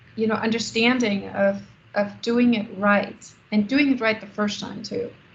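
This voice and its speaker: Fairly slow, monotone, flat speech from a woman with a fairly high pitch, with audible room echo. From Germany. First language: German. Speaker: architect and business founder. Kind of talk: Q&A after a lecture. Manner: halting, many fillers.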